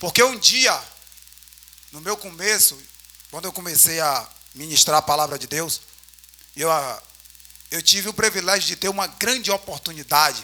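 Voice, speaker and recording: Over noticeable background noise, a man with a high pitch speaks at a moderate pace, using lively intonation, big swings in loudness, and long, frequent pauses. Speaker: preacher. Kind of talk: sermon. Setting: church.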